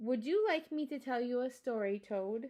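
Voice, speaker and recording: A woman's put-on character voice, pitched high. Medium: read story.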